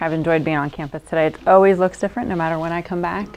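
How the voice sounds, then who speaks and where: A woman speaks with an American accent at a fairly low pitch. Her pitch varies in an ordinary way, and there is noticeable background noise. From North Jersey, US Northeast. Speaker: researcher and speaker. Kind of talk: lecture. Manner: fast.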